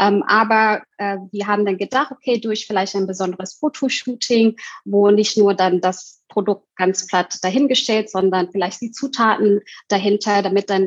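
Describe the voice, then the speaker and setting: A woman talks at a moderate pace with ordinary pitch variation and an unremarkable speaking voice, the sound dry and close with no echo. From Indonesia. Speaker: co-founder of an online shop. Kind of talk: interview conversation.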